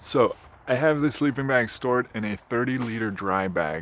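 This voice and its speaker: Over light background noise, a man talks at a moderate pace with ordinary pitch variation, the sound dry with no echo. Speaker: motorcycle camper reviewing gear. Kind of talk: product review vlog. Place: open country. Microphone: phone near.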